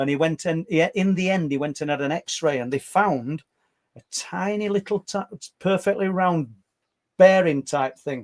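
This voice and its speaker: A man with a Yorkshire accent and a high-pitched voice speaks at a fairly slow pace. He leaves long, frequent pauses, and the sound is dry and close with no echo. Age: 60s. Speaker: paranormal podcast co-host and claimed abductee. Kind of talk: casual podcast chat. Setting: live stream with chat. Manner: halting, repeats words.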